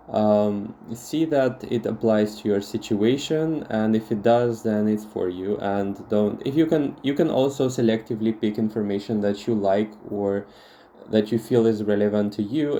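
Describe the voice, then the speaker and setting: Speaking at a moderate pace with a Russian accent, a man uses a fairly low pitch and fairly even intonation. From Moldova. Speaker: tarot reader. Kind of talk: tarot reading monologue. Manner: halting with many fillers.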